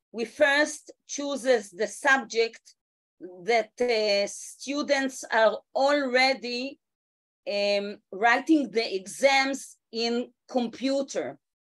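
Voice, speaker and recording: A woman with an Israeli accent speaks at a high pitch and a very slow pace. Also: ordinary pitch variation. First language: Hebrew. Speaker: education ministry official. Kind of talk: meeting remarks. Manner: halting, many fillers.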